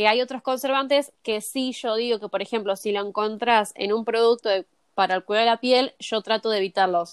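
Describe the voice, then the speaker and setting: With an unremarkable speaking voice, a woman talks at a fairly quick pace with hardly any pauses, fairly high pitch and fairly even intonation, in a very clean recording with a silent background and a dry, close sound with no echo. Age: 20s. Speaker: cosmetologist. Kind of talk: interview.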